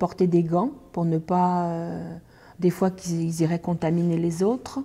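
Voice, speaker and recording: A woman with a dark, mellow tone and medium pitch speaks at a fairly slow pace against a quiet background. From France. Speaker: hepatitis C helpline worker. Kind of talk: documentary interview. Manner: hesitant, with many fillers. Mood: earnest, concerned. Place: office.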